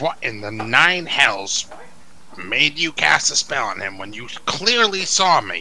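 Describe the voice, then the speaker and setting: In a put-on character voice, a man speaks quietly and breathily at a fairly slow pace and medium pitch, over clear background noise. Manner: whispering.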